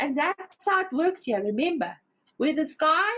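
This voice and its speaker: A woman speaks loudly at a moderate pace, her high voice moving through very wide pitch swings. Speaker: spiritual teacher. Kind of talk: inspirational talk. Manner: animated.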